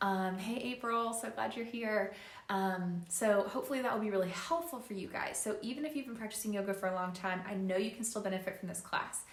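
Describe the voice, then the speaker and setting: Amid noticeable background noise and audible room echo, a woman talks fairly quickly at a medium pitch with ordinary pitch variation. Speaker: yoga instructor. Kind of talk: live-streamed yoga class instruction. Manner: not projecting voice, moderate volume; casual with frequent fillers.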